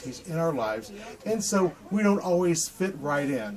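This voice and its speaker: Noticeable background noise sits behind the recording. Over it comes a man's voice with an American accent. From Ohio, USA. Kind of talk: devotional talk to camera. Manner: casual, hesitant.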